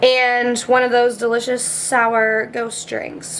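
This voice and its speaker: Loud and very slow, a woman speaks at a high pitch over noticeable background noise. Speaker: fitness vlogger. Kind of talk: casual vlog chat. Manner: casual, filler-heavy.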